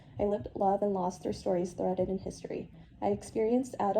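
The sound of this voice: An unforced reading voice, delivered with fairly even intonation.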